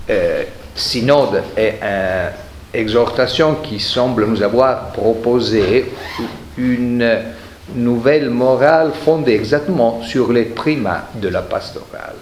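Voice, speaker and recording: A man with an Italian accent and a medium pitch speaks at a very slow pace, with noticeable background noise and audible room echo. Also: ordinary pitch variation. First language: Italian (speaking French). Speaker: historian, professor. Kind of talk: lecture.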